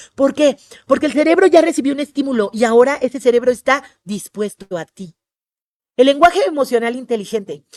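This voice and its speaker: Lively intonation and a fairly quick pace come through in a dry, close sound with no echo. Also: woman. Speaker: tourism trainer. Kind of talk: webinar lecture. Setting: online webinar. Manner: fast; animated.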